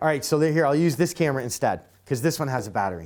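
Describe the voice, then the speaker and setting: A man speaks loudly. His pace is very fast. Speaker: camera enthusiast show host. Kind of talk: casual chat.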